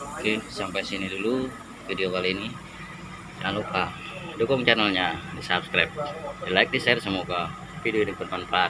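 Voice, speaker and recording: Noticeable background noise accompanies a man speaking at a fairly quick pace with ordinary pitch variation. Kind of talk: casual vlog tour. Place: open country. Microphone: phone near.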